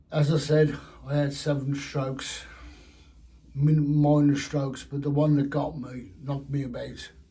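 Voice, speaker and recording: A man's monotone, flat intonation with audible room echo. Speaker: fishing vlogger. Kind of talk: personal health update vlog. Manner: slow; slurred, halting speech.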